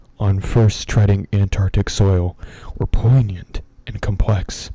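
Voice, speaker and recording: A man with a relaxed tone and fairly low pitch talks at a very slow pace, his voice somewhat breathy. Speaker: ASMR streamer and horror story reader. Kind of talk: horror story reading for a live stream. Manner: relaxed, ASMR-style.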